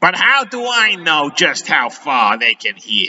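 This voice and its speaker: This is a put-on character voice at a middle pitch. Its pitch swings very widely. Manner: sneering.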